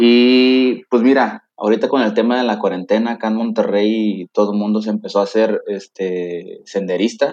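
A man with a normal speaking voice at medium pitch, hardly any pauses. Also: fairly even intonation, moderate pace. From Mexico, Tampico, Tamaulipas. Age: 30s. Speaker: systems engineer, lay church volunteer. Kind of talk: faith testimony in interview.

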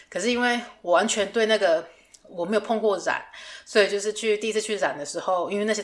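Medium-pitched and fairly quick, a woman's normal speaking voice. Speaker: podcast host, fashion designer. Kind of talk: casual chat.

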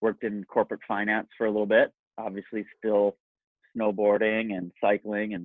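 A man with an American accent talks at a moderate pace in a plain, everyday voice. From US Midwest, south of Chicago (Kankakee area). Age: 40s. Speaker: supplement company founder. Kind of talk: casual interview.

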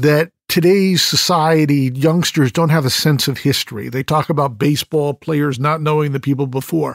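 A man with an ordinary speaking voice and fairly high pitch talks at a moderate pace. The sound is dry and close with no echo, on a very clean recording with a silent background. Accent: American. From Connecticut (Fairfield). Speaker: podcast host. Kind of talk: interview conversation.

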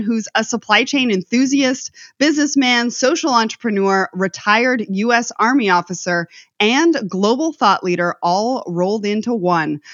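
A woman speaks in a plain, everyday voice at a moderate pace. Her pitch is fairly high, and her intonation is lively. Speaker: podcast host. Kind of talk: scripted intro and interview.

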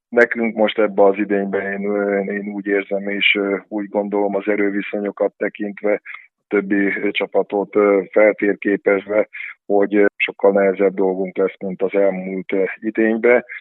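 A man speaks at a fairly slow pace in a fairly low pitch. His intonation stays monotone and flat. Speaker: handball coach. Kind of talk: sports interview.

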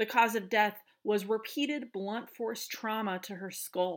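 Recorded very cleanly against a silent background, a woman speaks at a fairly high pitch and a fairly slow pace. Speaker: podcast host. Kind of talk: true-crime narration. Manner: dramatic, grim storytelling; sarcastic, opinionated asides.

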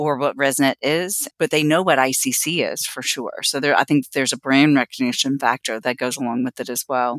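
This very clean recording has a silent background. A woman talks at a fairly quick pace with ordinary pitch variation. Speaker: professional association representative. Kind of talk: interview, informative talk.

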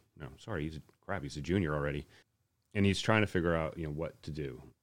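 His pitch sits very deep and low, with creaky vocal fry. The rise and fall of his pitch is typical. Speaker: podcast host. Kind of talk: casual interview chat.

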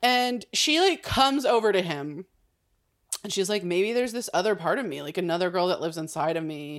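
A woman's animated, lively delivery at medium pitch and a fairly quick pace, on a very clean recording with a silent background. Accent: American. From California. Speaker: podcast co-host. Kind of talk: casual chat.

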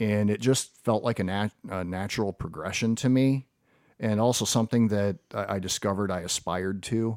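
Here is a plain, everyday voice: a man with an American accent, fairly low in pitch, speaking at a moderate pace with fairly even intonation. The recording is very clean with a silent background, dry and close with no echo. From US Midwest, Perrysburg, Ohio. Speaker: school administrator. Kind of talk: interview.

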